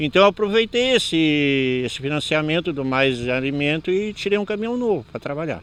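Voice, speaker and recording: A man with a fairly high pitch talks at a moderate pace with lively intonation. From southern Brazil, Porto Alegre rural area. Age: 60s. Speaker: farmer. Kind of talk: interview. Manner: halting.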